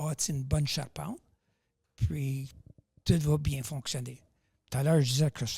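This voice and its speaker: A man speaks at a fairly slow pace in a fairly high, somewhat breathy voice. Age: 70s. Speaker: powerlifter. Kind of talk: podcast interview.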